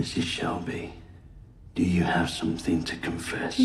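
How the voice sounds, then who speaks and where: Over clear background noise and a slight echo, a man uses a raspy put-on character voice, very deep and low, at a moderate pace. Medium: short film. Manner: measured, grave.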